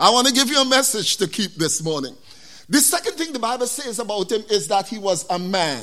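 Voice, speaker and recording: A raised, projected voice with a bright, sharp tone, very wide pitch swings and a West Indian accent, fairly quick, on a very clean recording with a silent background. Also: man, high pitch for a man. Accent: West Indian Caribbean English. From West Indies. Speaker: preacher. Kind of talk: sermon. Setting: church. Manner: animated.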